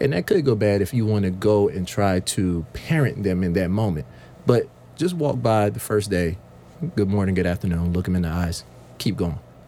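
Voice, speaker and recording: In an American accent, a man with a fairly low pitch has a plain, everyday voice. He speaks at a moderate pace with lively intonation. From US South, Sumter, South Carolina. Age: 30s. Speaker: youth program director. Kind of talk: radio panel discussion. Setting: radio studio.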